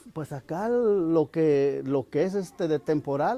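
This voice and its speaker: Very slow pacing paired with lively intonation. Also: man. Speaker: farmer. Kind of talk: testimony.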